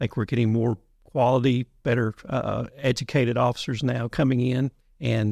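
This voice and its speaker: A man with a Kentucky accent speaks at a medium pitch and moderate pace, with vocal fry. His intonation is fairly even, and the sound is dry and close with no echo. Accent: Kentucky Southern US. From Western Kentucky (Muhlenberg County). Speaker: police instructor, retired police chief. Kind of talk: interview.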